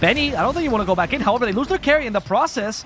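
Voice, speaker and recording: With music in the background, a man with a non-native accent speaks in very wide pitch swings. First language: not English. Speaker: esports caster. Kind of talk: live commentary.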